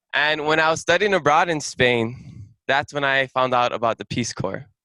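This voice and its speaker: The speaker has a Hawaiian accent and a bright, sharp tone at a moderate pace. The sound is dry and close with no echo, and the pitch varies in an ordinary way. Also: man, fairly high pitch for a man. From Hawaii, Hilo on the Big Island. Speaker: returned Peace Corps volunteer. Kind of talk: presentation to an audience. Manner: casual, engaging the audience.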